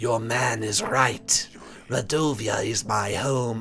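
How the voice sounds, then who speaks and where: A man puts on a character voice, raspy and medium in pitch. He speaks very slowly. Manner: menacing.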